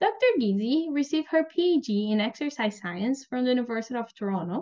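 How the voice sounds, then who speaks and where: A woman with a normal speaking voice, fairly high in pitch, lively intonation and a fairly quick pace. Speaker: PhD student podcast host. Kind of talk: interview, host introducing guest.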